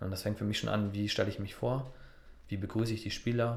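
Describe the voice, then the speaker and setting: A man with a fairly low pitch talks at a fairly quick pace. His voice is somewhat breathy, with monotone, flat intonation. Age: 30s. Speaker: football referee. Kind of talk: interview.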